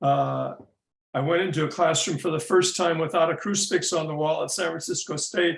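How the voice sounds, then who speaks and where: This speaker talks at a fairly quick pace with an American accent. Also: man. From US Midwest. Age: 70s. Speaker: psychotherapist and community leader. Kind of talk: interview.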